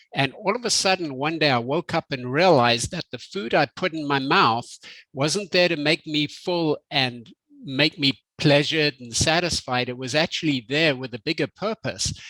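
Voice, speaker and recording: Speaking with a Zimbabwean accent at a moderate pace, a man has a fairly high pitch, ordinary pitch variation and a bright, sharp tone, captured dry and close with no echo. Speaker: health company executive. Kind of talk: interview.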